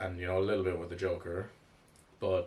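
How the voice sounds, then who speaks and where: With an Irish accent, a man speaks in a very deep, low pitch. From Ireland. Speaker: comics reviewer. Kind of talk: casual commentary video. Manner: casual, with fillers and restarts.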